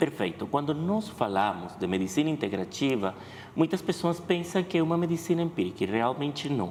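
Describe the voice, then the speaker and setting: A man with a Spanish accent talks with very wide pitch swings and vocal fry. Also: fairly high pitch for a man. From Venezuela. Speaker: veterinarian. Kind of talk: TV interview.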